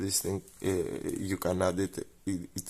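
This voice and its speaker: A man with a Greek accent speaks on a very clean recording with a silent background. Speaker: scale modeller. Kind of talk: tutorial. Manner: halting; casual.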